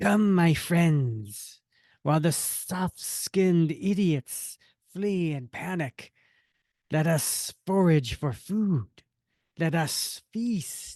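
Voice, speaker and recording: Menacing in tone, a put-on character voice sits at middle pitch. Its pace is very slow. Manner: menacing, gleeful.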